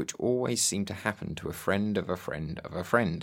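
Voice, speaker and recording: Lively intonation marks a normal speaking voice at a moderate pace, recorded very cleanly against a silent background. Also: man. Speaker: podcast host. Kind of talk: scripted narration with interview questions.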